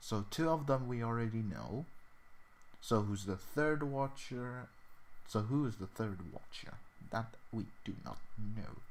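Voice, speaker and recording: This is a man speaking. He has a Swedish accent. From Sweden. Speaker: gaming livestreamer. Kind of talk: casual livestream chat. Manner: halting, many fillers and repetitions.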